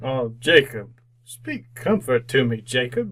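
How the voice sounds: A man uses a put-on character voice with a fairly bright tone, big pitch swings, and a slow pace. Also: medium pitch for a man.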